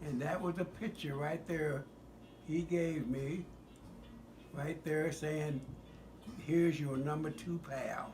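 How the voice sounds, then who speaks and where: A man with an American accent, fairly high-pitched for a man, at a very slow pace with fairly even intonation and long, frequent pauses. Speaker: former US Marine. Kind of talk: casual personal storytelling.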